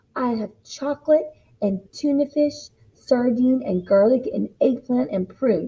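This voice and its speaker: A woman puts on a gruff character voice pitched high. She delivers it at a fairly slow pace. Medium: read story. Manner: grumpy, gruff.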